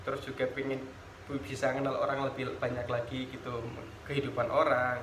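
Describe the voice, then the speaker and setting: With fairly even intonation, a man talks in a space where room echo is audible. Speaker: former student leader, teacher trainee. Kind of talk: interview. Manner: casual, with fillers and false starts.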